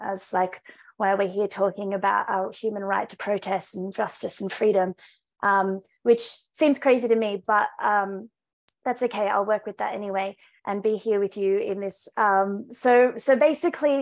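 A woman with an Australian accent talks at a moderate pace and with ordinary pitch variation against a quiet background. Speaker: climate activist; panelist. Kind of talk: rally speech; panel discussion answer. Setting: video call. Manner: impassioned, rousing. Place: home room. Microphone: video call.

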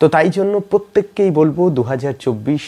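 A man with a fairly high pitch and a dark, mellow tone speaks. His pace is fairly quick and his intonation lively.

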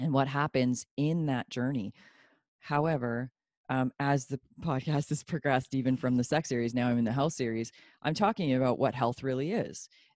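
A woman with a very deep, low pitch talks at a moderate pace, the sound dry with no echo and the background quiet. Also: ordinary pitch variation. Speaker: podcast guest. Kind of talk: interview answer. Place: home room. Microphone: handheld.

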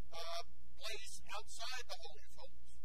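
A man speaks fairly slowly while loud noise fills the background. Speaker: bible class teacher. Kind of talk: lecture. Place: classroom. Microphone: lapel.

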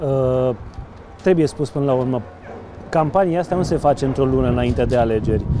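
A man talks at a fairly quick pace with ordinary pitch variation and long, frequent pauses, in a dry sound with no echo over noticeable background noise. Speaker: local news interviewer. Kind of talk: interview. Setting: outdoors by a riverside promenade under construction. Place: boat. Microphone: lapel.

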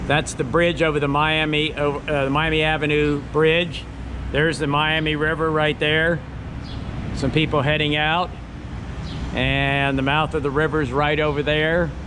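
Noticeable background noise accompanies speech at a moderate pace, with very even loudness and monotone, flat intonation. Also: man. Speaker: vlogger filming the city. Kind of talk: casual vlog chat. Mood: relaxed, nostalgic. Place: station. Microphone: phone near.

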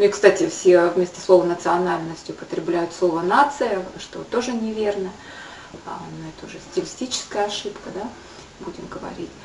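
At a moderate pace, a woman speaks with ordinary pitch variation and big swings in loudness, amid light background noise and audible room echo. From Buryatia, Ulan-Ude; Buryatia. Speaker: video blogger. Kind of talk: educational talk to camera. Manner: halting. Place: kitchen. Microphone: webcam.

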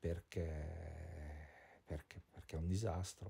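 This man's voice sits very deep and low, somewhat breathy with a dark, mellow tone and a monotone, flat delivery. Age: 40s. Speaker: vlogger and painter. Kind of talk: personal video diary monologue. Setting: at home, indoors. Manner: halting, many fillers and repetitions.

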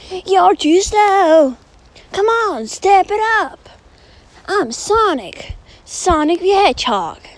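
A woman speaks in a put-on character voice with an extremely high pitch. Her pace is very slow, broken by long, frequent pauses. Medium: solo performance. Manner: cocky, teasing.

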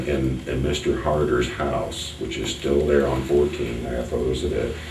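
Light background noise and audible room echo surround a man with an American accent who speaks at a moderate pace, his very deep, low voice monotone and flat. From Collamer, Whitley County, Indiana. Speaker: local history museum owner. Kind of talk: oral history interview answer. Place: meeting room. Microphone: camera far.

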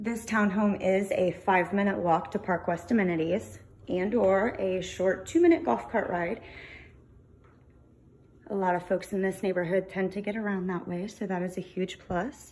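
The voice is somewhat breathy and moves at a moderate pace. Its intonation is fairly even. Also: woman. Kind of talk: casual walkthrough tour narration. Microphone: phone near.

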